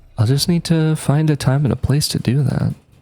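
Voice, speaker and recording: A man is talking at a moderate pace. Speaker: vlogger. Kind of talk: casual monologue. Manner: loud; hesitant, many fillers.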